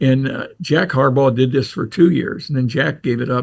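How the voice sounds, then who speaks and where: A somewhat breathy man of medium pitch speaks with an American accent at a moderate pace, with ordinary pitch variation. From Ohio, Crestline. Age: 80s. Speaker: retired coach and athletic administrator. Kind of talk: casual interview storytelling.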